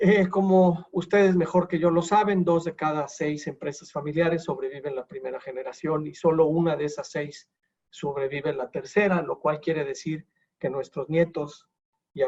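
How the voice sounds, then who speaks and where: The man has a normal speaking voice with a fairly high pitch. He moves at a moderate pace with ordinary pitch variation. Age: 60s. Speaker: wealth succession advisor. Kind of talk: lecture.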